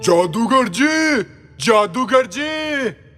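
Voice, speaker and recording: A man's loud, shouted, put-on character voice at an extremely high pitch with lively intonation, faint music in the background. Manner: shouting, calling loudly.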